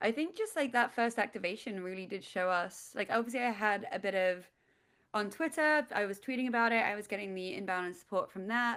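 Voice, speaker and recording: A woman talks at a fairly quick pace in a fairly high pitch, with ordinary pitch variation. The recording is very clean, with a silent background. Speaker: startup founder. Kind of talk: interview. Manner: loud.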